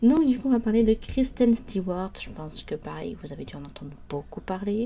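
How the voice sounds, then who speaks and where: A woman speaks with lively intonation. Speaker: YouTuber. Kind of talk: biography narration, casual. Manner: hesitant, many fillers.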